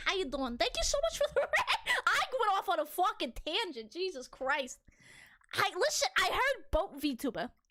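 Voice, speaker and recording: Her voice is extremely high, bright and sharp, with very wide pitch swings and an animated tone. This woman speaks at a moderate pace, raised and projected, in a Boston accent. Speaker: VTuber streamer. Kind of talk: casual live stream chat.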